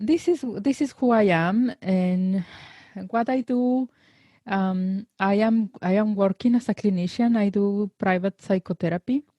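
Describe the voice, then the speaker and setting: Speaking fairly slowly with a Spanish accent, the voice is somewhat breathy with a dark, mellow tone, ordinary pitch variation and very even loudness, in a dry, close sound with no echo. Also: woman, medium pitch for a woman. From Mexico, Guadalajara. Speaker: psychologist. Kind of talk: interview conversation.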